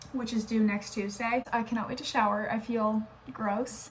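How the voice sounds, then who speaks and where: A woman's fairly quick speech, fairly even in intonation, comes over noticeable background noise. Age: 20s. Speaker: nursing student vlogger. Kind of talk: casual vlog. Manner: casual, filler-heavy.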